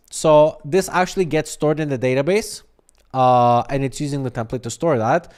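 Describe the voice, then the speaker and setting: On a very clean recording with a silent background, a man with an unremarkable speaking voice talks at a moderate pace, his fairly high pitch showing ordinary variation. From Canada. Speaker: software developer streamer. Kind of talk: live coding stream. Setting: live stream. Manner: casual, filler-heavy.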